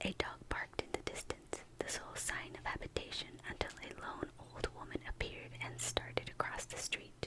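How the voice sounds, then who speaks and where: Someone whispers at a moderate pace with noticeable background noise. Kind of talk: novel reading. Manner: whispered.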